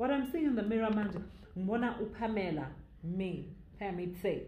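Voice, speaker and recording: Amid noticeable background noise and audible room echo, a woman speaks with a Zulu accent. Her voice is fairly high, with lively intonation. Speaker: YouTuber storyteller. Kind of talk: storytime narration. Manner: code-switching English and Zulu.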